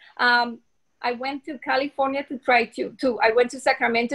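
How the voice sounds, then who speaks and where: Speaking at a moderate pace with a non-native accent, a woman uses a high pitch and a monotone, flat intonation. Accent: foreign. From Colombia. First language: Spanish. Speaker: dentist. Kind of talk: interview.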